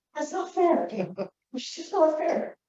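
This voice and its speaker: A woman with an American accent speaks at a moderate pace in an animated tone with very wide pitch swings and audible room echo. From US Pacific Northwest (rural eastern Washington). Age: 60s. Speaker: mental health advocate and social worker. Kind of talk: keynote speech. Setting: conference hall with audience.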